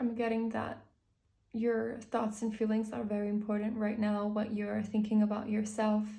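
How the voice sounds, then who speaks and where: With a somewhat breathy, dark, mellow tone, a woman speaks at a moderate pace in a fairly high pitch and a flat, monotone delivery. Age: 20s. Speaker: tarot reader. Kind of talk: tarot reading to camera.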